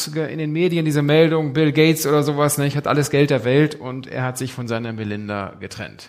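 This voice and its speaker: A man with an unremarkable speaking voice, fairly high in pitch, at a fairly quick pace with ordinary pitch variation. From Germany, Bünde (East Westphalia). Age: 40s. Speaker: pastor. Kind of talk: sermon.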